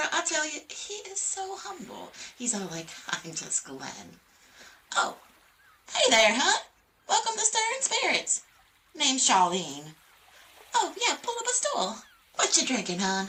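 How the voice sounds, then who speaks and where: Using a put-on character voice, a woman talks at a fairly slow pace with long, frequent pauses, her high pitch making very wide swings. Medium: solo performance. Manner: chatty, folksy, teasing.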